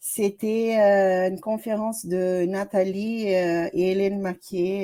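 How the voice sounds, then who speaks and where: The speaker has a Brazilian accent and a dark, mellow tone. Their intonation is fairly even. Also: woman. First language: Portuguese (speaking French). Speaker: doctoral student. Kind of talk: self-introduction in seminar. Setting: video call.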